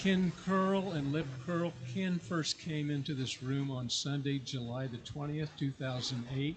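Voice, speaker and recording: A man speaks at a fairly slow pace with fairly even intonation. His voice is fairly high-pitched and somewhat breathy. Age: 70s. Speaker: truck driver. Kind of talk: sharing joys in church service.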